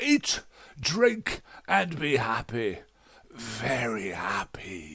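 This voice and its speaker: A man uses a put-on character voice at medium pitch. He speaks at a very slow pace with long, frequent pauses. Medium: read story. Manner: grandiose, theatrical.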